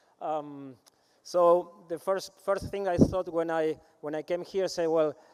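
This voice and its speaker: A man with an Argentine accent, high-pitched, at a fairly slow pace and with fairly even intonation. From Argentina, Rosario. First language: Spanish. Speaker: agribusiness consultant. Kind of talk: conference presentation. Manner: halting, many fillers.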